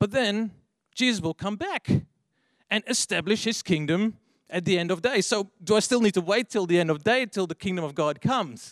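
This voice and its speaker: A man with a Dutch accent talks at a moderate pace in a high pitch with ordinary pitch variation, on a very clean recording with a silent background. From Netherlands. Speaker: young adults leader. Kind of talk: sermon. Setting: church.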